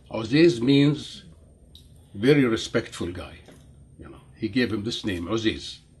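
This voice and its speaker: A man talks at a fairly slow pace in a dark, mellow tone that is somewhat breathy. His pitch swings very widely. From Jordan. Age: 70s. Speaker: interviewee telling life story. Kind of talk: interview. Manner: halting, many fillers.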